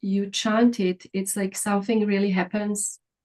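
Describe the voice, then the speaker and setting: A woman's medium-pitched, somewhat breathy voice moves at a moderate pace. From Croatia. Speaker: wellness expert and co-producer. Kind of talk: casual chat. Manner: halting.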